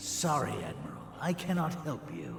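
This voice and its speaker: A man performs a put-on character voice at a moderate pace. Loud background noise and a slight echo sit behind him. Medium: video game. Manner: haughty, scornful.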